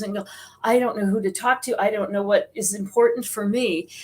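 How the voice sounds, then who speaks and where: A woman with an American accent speaks at a fairly high pitch with fairly even intonation. There is noticeable background noise. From US Midwest, South Dakota. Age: 60s. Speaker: psychic medium and author. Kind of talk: interview.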